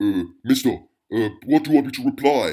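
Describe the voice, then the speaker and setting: A man performs a put-on character voice at a fairly high pitch and a fairly quick pace. The recording is very clean, with a silent background. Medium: audio drama. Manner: deferential, addresses others as mister.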